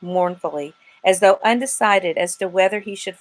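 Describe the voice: What is heard here is plain reading aloud.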